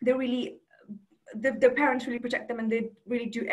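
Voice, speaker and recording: At a very fast pace, a woman speaks with a high pitch and fairly even intonation. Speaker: student union president. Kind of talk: talk to a club with slides. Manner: halting, many fillers.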